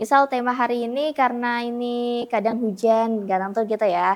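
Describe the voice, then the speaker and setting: High-pitched woman at a moderate pace on a very clean recording with a silent background. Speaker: radio announcer. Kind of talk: interview answer.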